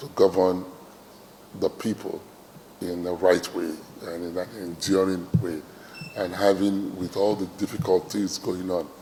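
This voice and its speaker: A man's very deep, low voice at a fairly slow pace, monotone and flat in intonation, with long, frequent pauses and noticeable background noise. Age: 60s. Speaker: traditional ruler. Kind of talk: interview speech. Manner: hesitant, many fillers.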